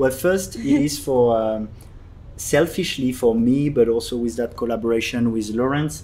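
With a French accent, a man talks at a fairly slow pace, his medium pitch showing ordinary variation. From France, Paris. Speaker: podcast host. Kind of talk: casual chat. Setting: tea house.

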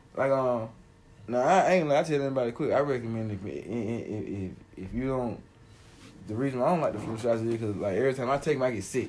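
A man at medium pitch with ordinary pitch variation, fairly quick, with audible room echo. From Atlanta area, Georgia. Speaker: podcast co-host. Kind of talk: casual chat.

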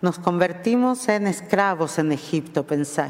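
Over noticeable background noise, a woman with an Argentine accent speaks with lively intonation. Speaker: rabbi. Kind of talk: sermon. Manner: mixes Spanish with Portuguese.

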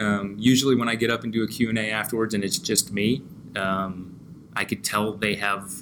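A man's fairly low voice with a bright, sharp tone, at a moderate pace with ordinary pitch variation. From US Northeast, Pennsylvania (near Scranton). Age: 30s. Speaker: documentary filmmaker. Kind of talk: casual chat.

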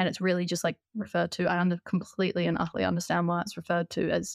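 A woman talks at a very fast pace in a New Zealand accent. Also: very clean recording, silent background. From New Zealand, Christchurch. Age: 20s. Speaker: biomedicine student. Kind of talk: podcast interview.

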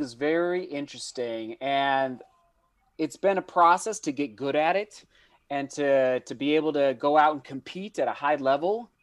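A man's normal speaking voice, fairly high in pitch, with an American accent, ordinary pitch variation and a moderate pace. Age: 30s. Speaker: professional runner and running YouTuber. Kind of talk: casual interview chat. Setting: video call.

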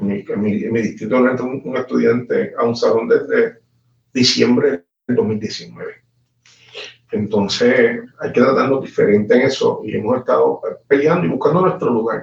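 A man speaks at a moderate pace with a Puerto Rican accent. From Puerto Rico, Guayanilla. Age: 40s. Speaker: politician. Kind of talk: interview. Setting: live stream. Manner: halting.

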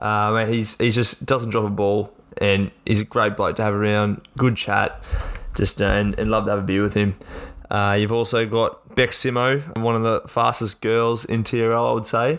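Speaking at a moderate pace with an Australian accent, a man keeps a fairly low pitch, fairly even intonation and very even loudness. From Central Queensland, Australia. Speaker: sports podcast co-host and player. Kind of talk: casual chat. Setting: home podcast studio.

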